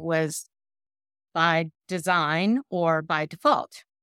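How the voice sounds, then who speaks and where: A bright, sharp tone with ordinary pitch variation comes through a very clean recording with a silent background, the sound dry and close with no echo. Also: woman. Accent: Southern US. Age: 60s. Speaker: hotel executive. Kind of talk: interview.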